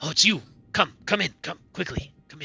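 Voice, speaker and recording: Putting on a character voice, a man sounds raspy, with big swings in loudness. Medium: actual play. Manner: nervous, stammering.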